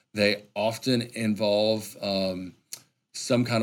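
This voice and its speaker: In an Arkansas accent, a man talks with fairly low pitch and fairly even intonation. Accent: Southern US (Arkansas). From Arkansas, central (Lonoke County). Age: 30s. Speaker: state wildlife agency director. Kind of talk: interview conversation. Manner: articulate.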